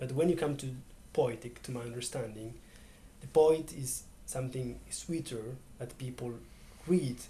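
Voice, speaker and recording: The voice has a dark, mellow tone, a somewhat breathy quality, ordinary pitch variation and big swings in loudness, with audible room echo. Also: man, medium pitch for a man, moderate pace. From Ethiopia, Oromia. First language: Oromo. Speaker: poet and slow food worker. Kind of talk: interview. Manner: halting, with frequent repetitions.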